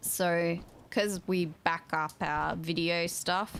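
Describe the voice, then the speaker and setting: A woman's fairly low voice with an Australian accent on a very clean recording with a silent background. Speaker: gaming streamer. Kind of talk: casual live-stream chat.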